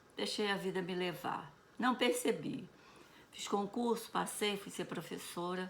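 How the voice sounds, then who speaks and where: Her tone is bright and sharp, with a medium pitch and ordinary pitch variation. The woman speaks at a fairly slow pace. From Brazil, Rio de Janeiro. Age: 70s. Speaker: retired teacher. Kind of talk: personal storytelling.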